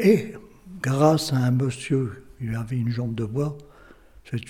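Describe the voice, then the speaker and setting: A man's somewhat breathy, dark, mellow voice at medium pitch, with ordinary pitch variation and a fairly slow pace. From northern France, Lille area. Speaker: local history witness. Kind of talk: oral history testimony. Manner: halting, many repetitions.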